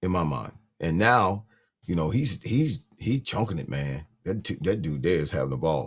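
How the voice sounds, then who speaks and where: With vocal fry and very wide pitch swings, a man speaks at a very deep, low pitch and a moderate pace. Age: 60s. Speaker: retired NFL player, football show co-host. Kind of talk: casual sports talk show. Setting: live video stream.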